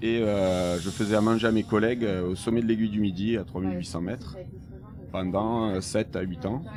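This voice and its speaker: A man speaks at a moderate pace with fairly low pitch and fairly even intonation. Audible room echo and noticeable background noise surround him. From southern France, Béziers. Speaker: ice cream maker and ski patroller. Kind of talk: interview. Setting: on board a moving train. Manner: halting, many hesitations.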